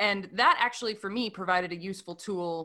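Bright and sharp in tone, a woman with an American accent talks at a fairly quick pace with ordinary pitch variation. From US Midwest. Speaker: podcast host, actor and comedian. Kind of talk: casual chat.

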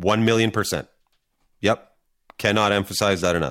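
A man's fairly low voice at a fairly quick pace, in a very clean recording with a silent background. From New York, US. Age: 40s. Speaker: TikTok content creator, former chef. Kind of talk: casual interview chat. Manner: candid, swears casually.

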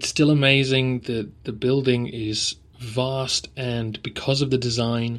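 In an English accent, a man talks with a monotone, flat intonation. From England. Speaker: history podcaster. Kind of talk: casual travel update, unscripted. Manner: hesitant, with ums and ahs.

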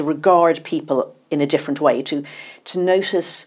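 Here is a woman with an ordinary speaking voice. Her fairly low voice moves at a moderate pace with ordinary pitch variation. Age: 50s. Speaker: journalist and author. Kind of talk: interview.

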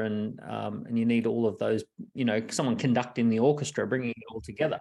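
With an Australian accent, a man talks at medium pitch and a very fast pace. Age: 40s. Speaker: entrepreneur and author. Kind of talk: casual interview.

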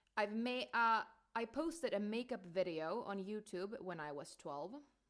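On a very clean recording with a silent background, a woman with a Finnish accent speaks at a fairly slow pace with lively intonation. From Finland. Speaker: podcast co-host. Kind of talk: casual chat.

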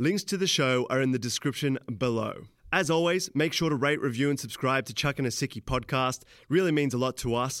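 A man's normal speaking voice, medium in pitch with ordinary pitch variation, very even loudness and a fairly quick pace, on a very clean recording with a silent background. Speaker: podcast host. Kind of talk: casual interview.

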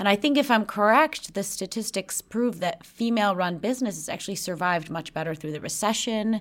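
A woman with an American accent and a normal speaking voice talks at a medium pitch with lively intonation. Her pace is fairly quick, with hardly any pauses. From Chicago, US Midwest. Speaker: podcast host and CEO. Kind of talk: interview. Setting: office.

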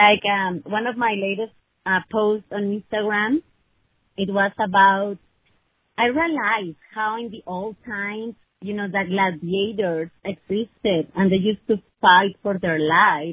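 A woman with a Spanish accent speaks fairly slowly at a medium pitch, with ordinary pitch variation and big swings in loudness. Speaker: attorney. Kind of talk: casual chat. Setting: phone call.

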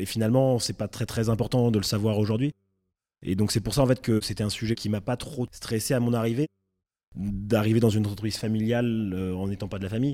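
On a very clean recording with a silent background, a man with a dark, mellow tone speaks at a fairly low pitch and fairly quick pace with fairly even intonation. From Champagne, France (Reims). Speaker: winery manager. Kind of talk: interview.

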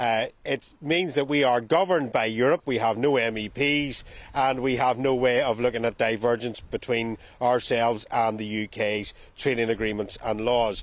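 A man with a Northern Irish accent speaks at a medium pitch and moderate pace with ordinary pitch variation. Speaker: reporter. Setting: remote link.

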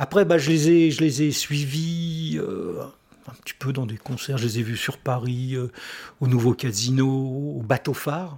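At a fairly slow pace, a man speaks at medium pitch with ordinary pitch variation and a somewhat breathy voice. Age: 60s. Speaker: writer. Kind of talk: casual chat.

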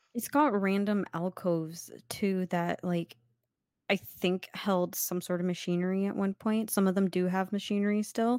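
A woman with a normal speaking voice talks at medium pitch and a moderate pace, her intonation fairly even and her loudness very even. The recording is very clean and dry, close with no echo, over a silent background. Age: 20s. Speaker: podcast co-host. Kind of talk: casual chat.

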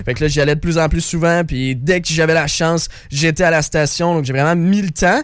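This man has an ordinary speaking voice, pitched fairly high. He talks at a moderate pace with fairly even intonation. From Quebec. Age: 20s. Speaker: content creator and ski coach. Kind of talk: casual chat. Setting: radio studio.

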